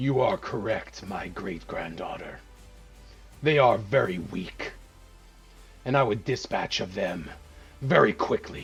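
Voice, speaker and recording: Clear music plays in the background as a man uses a put-on character voice, raspy and medium-pitched. He speaks at a fairly slow pace with long, frequent pauses. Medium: actual play. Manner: arrogant, amused.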